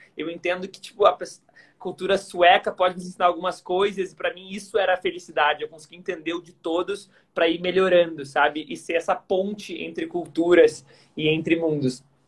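A man talks at a fairly quick pace in a Gaúcho Brazilian accent. His pitch is high. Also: fairly even intonation, big swings in loudness. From southern Brazil, Porto Alegre. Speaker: workplace happiness expert, former tennis player. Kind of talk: casual interview chat. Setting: Instagram live, video call.

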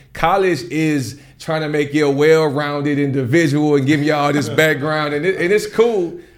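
A man's fairly high-pitched voice with ordinary pitch variation, a moderate pace, hardly any pauses, and audible room echo. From US South, Nashville, Tennessee. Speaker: tech bootcamp co-founder. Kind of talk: casual interview conversation.

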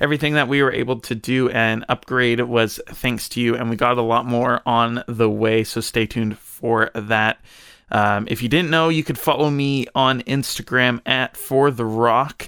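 In a very clean recording with a silent background, a man with a medium-pitched, bright, sharp tone talks at a moderate pace with fairly even intonation. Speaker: podcast co-host. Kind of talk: casual podcast interview.

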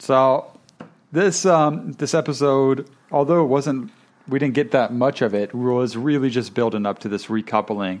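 This man has a normal speaking voice, pitched in the medium range. He talks at a moderate pace with lively intonation. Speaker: podcast host. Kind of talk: casual chat reviewing a reality show.

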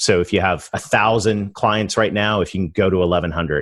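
A man speaks with an American accent at a fairly low pitch. His pace is moderate, and the background is quiet. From Canada. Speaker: revenue growth strategist. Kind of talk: interview.

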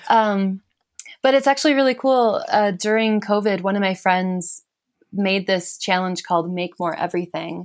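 In an American accent, a woman talks at a moderate pace and medium pitch with ordinary pitch variation. It is a plain, everyday voice. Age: young. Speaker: musician and writer. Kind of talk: casual chat. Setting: video call.

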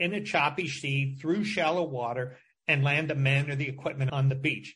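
In a plain, everyday voice, a man with an American accent talks at a moderate pace with a fairly high pitch. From Michigan. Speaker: journalist and author. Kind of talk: interview.

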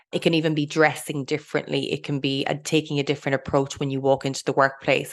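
A woman's very deep, low voice, monotone and flat, at a fairly quick pace against a quiet background. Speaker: mindset coach and podcast co-host. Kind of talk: solo podcast monologue. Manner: fast.

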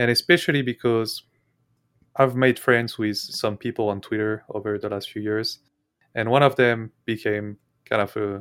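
Speaking at a moderate pace with long, frequent pauses, a man with a medium pitch keeps his intonation fairly even, and the recording is very clean with a silent background and a dry, close sound with no echo. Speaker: trader and podcaster. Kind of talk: casual interview. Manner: calm.

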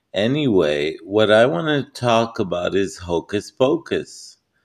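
A man's plain, everyday voice, fairly low-pitched, with lively intonation. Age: 40s. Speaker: vlogger. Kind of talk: casual monologue.

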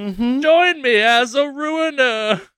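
Using a put-on character voice, a man pushes his pitch extremely high. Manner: menacing.

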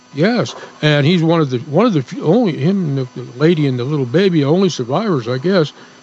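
With lively intonation and a fairly high pitch, a man talks at a fairly quick pace over noticeable background noise. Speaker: radio co-host. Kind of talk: casual chat.

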